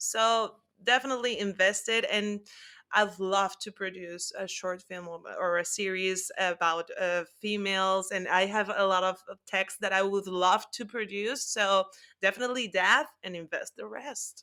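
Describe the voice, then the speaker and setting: Speaking at a fairly slow pace in a Spanish accent, a woman with a medium pitch and a bright, sharp tone keeps her intonation fairly even while her loudness swings widely. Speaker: actress. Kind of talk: interview.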